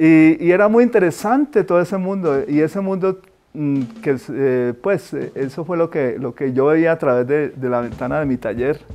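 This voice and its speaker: Lively intonation at a moderate pace. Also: man, fairly high pitch for a man. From Colombia, Cali. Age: 60s. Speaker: painter. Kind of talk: interview. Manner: halting.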